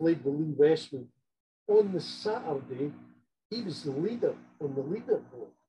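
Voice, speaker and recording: This voice has a dark, mellow tone with vocal fry and lively intonation. It moves at a moderate pace, broken by long, frequent pauses. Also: man, fairly high pitch for a man. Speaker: golf grip inventor. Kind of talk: interview.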